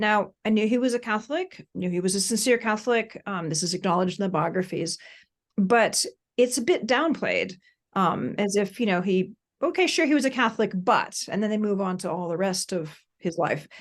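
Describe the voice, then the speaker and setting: In an ordinary speaking voice, a woman with an American accent talks at a fairly quick pace, with medium pitch and lively intonation against a quiet background. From United States. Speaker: professor and author. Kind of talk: podcast interview.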